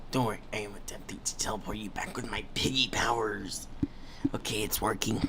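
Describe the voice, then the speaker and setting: Whispering in a put-on character voice, a man speaks at a fairly quick pace. Loud background noise is present. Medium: machinima. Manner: bossy, commanding.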